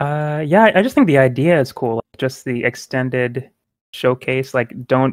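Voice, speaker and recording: A normal speaking voice moves at a fairly quick pace with ordinary pitch variation, in a dry, close sound with no echo. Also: man. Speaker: video game podcast co-host and artist. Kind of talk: casual chat.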